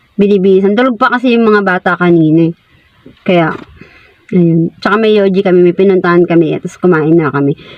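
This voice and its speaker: Fairly quick speech from a woman, medium in pitch and with ordinary pitch variation. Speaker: vlogger. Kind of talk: casual vlog narration. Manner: animated.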